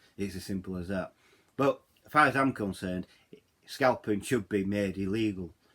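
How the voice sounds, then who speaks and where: A man speaks with a Yorkshire accent at a moderate pace. He leaves long, frequent pauses. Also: ordinary pitch variation. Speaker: YouTuber. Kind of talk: vlog rant. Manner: halting, repeats words; animated.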